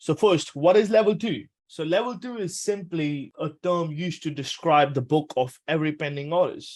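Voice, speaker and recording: A man speaks with a high pitch and ordinary pitch variation at a moderate pace. He leaves hardly any pauses against a quiet background. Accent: Punjabi. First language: Punjabi. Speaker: trading educator. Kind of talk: tutorial. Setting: webinar. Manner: casual.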